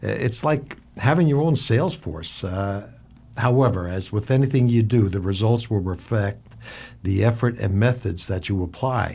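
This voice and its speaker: A somewhat breathy man's voice at a medium pitch, dark and mellow in tone, with lively intonation and a moderate pace. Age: 60s. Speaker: businessman, networking guest. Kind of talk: business advice talk.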